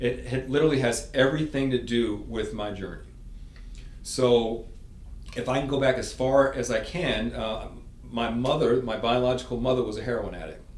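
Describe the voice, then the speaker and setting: An American-accented man talks at a moderate pace, with audible echo from the room. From New York City. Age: 60s. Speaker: sales consultant and former marine. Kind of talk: interview storytelling.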